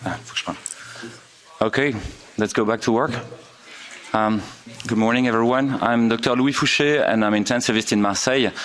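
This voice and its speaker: Noticeable background noise runs behind a man speaking with a French accent at a medium pitch. He talks at a fairly quick pace with fairly even intonation, though his pauses are long and frequent. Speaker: intensive care doctor. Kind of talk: conference presentation. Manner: halting, many fillers.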